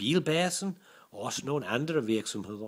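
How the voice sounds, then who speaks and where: This voice belongs to a man. Very wide swings mark his pitch. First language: English (speaking Danish). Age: 60s. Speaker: business English teacher and commercial voice actor. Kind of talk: self-introduction. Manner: halting, with many fillers.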